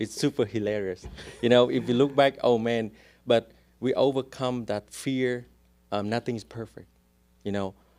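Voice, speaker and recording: Speaking with a strong Vietnamese accent, a man keeps a medium pitch, a moderate pace and fairly even intonation. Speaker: real estate agent. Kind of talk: casual interview chat.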